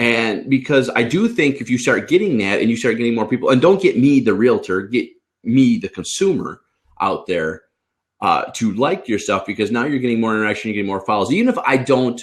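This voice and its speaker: A man at a fairly quick pace, animated in tone with lively intonation, against a quiet background. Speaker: realtor and trainer; trainer. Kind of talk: casual chat. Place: home room. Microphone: video call.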